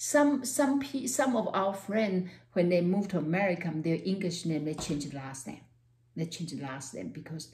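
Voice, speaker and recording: Somewhat breathy, the voice carries a Taiwanese accent. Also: woman. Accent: Taiwanese Mandarin-accented English. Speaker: university professor. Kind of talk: personal talk to camera.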